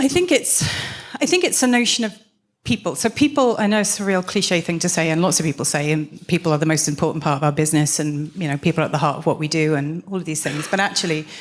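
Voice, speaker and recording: In a slight Welsh accent, the speaker talks very fast with ordinary pitch variation on a very clean recording with a silent background. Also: woman, fairly low pitch for a woman. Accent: slight Welsh lilt. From South Wales. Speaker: business consultant, former tech executive. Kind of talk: panel conversation on stage.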